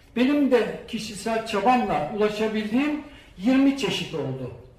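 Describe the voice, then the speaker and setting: Delivered at a fairly slow pace with ordinary pitch variation, the speech comes through noticeable background noise and audible room echo. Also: man. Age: 60s. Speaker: retired banker and seed collector. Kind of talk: public talk. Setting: stage with audience.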